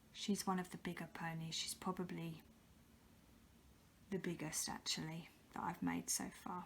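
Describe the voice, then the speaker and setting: A woman whispers at a moderate pace, leaving long, frequent pauses. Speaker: polymer clay artist. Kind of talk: ASMR show and tell. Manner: soft-spoken.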